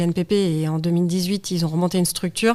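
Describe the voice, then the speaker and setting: Intonation stays fairly even. Delivery is very fast. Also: woman. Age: 40s. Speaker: studio photographer and federation president. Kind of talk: casual interview chat. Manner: frank, outspoken.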